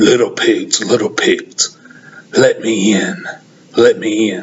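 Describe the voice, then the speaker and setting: A raspy, put-on character voice from a man at a fairly slow pace. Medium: read story. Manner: menacing.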